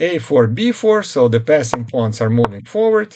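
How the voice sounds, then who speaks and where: A man talks at a moderate pace with fairly even intonation. His is a plain, everyday voice. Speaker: chess commentator. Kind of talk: game analysis narration.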